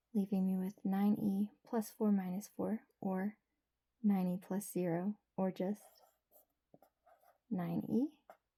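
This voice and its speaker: A soft-spoken woman whispers at a very slow pace with long, frequent pauses, somewhat breathy and soothing in tone, the sound dry and close with no echo. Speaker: ASMR creator. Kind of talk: ASMR math tutorial. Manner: whispered; soft-spoken, soothing.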